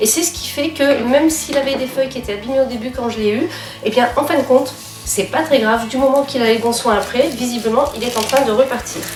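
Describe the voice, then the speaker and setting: With music playing behind her and audible room echo, a woman talks at a fairly quick pace in a high pitch. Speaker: plant vlogger. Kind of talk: casual vlog talk. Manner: halting.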